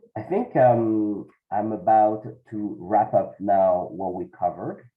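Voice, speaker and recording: A man speaks with a French accent. His pitch sits fairly low. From France. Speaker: accountant. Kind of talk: webinar presentation. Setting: video call webinar. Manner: halting, many fillers.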